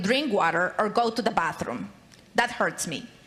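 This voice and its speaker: A woman with a Spanish accent uses a raised, projected voice with very wide pitch swings at a moderate pace, with noticeable background noise behind her. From Latin America. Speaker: state legislator. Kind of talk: floor speech. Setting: legislative chamber. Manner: formal.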